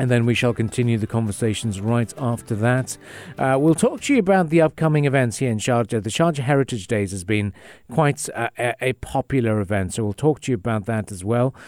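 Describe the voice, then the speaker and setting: On a very clean recording with a silent background, a man speaks at a fairly quick pace in a plain, everyday voice, his medium pitch showing ordinary variation. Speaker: radio host. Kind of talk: radio dj patter. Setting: studio. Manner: chatty, upbeat, conversational; disfluent, rambling with fillers and repeats.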